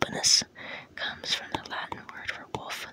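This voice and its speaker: A woman whispers at a moderate pace. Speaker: ASMR artist and author reading her own book. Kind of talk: whispered audiobook-style reading. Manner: whispered, soft.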